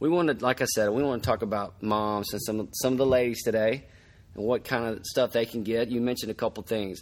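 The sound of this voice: A medium-pitched male voice at a fairly quick pace with fairly even intonation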